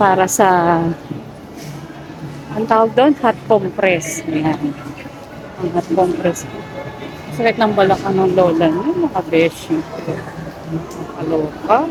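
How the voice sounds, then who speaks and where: Very slow speech with long, frequent pauses over music in the background. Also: woman, medium pitch for a woman, ordinary pitch variation. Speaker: vlogger mom. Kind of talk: casual vlog chat. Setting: shopping mall.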